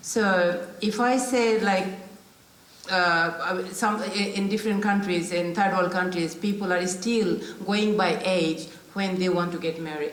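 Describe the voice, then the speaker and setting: A woman talks at a fairly slow pace with fairly even intonation, with audible room echo and noticeable background noise. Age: 60s. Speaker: panellist, local councillor and business owner. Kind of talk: panel discussion. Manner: halting.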